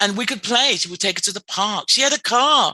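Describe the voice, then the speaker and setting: In a dry, close recording with no echo, a woman with an English accent talks at a moderate pace in a bright, sharp tone. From England. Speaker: clinical social worker. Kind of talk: podcast interview.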